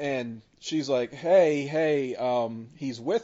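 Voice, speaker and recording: In an unremarkable speaking voice, a man talks fairly high with ordinary pitch variation. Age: 30s. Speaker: podcast co-host. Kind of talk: casual chat.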